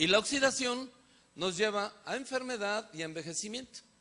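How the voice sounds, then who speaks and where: A man speaks in a raised, projected voice. It is high, bright, and sharp. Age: 60s. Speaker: physician. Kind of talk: lecture.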